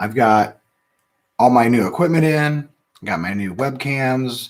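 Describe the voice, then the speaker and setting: Quiet and fairly slow, a man with an American accent speaks at a medium pitch with ordinary pitch variation. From Ohio, US Midwest. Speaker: whiskey reviewer, channel host. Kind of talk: casual live-stream tasting review. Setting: live stream from home studio. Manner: quiet, talks under his breath. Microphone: new sensitive mic.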